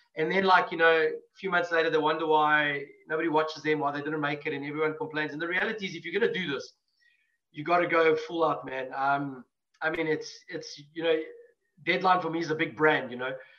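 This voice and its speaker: A man speaks with a bright, sharp tone and a fairly high pitch, at a fairly quick pace. His intonation is fairly even, and audible room echo is present. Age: 40s. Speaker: metal band musician. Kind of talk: casual chat.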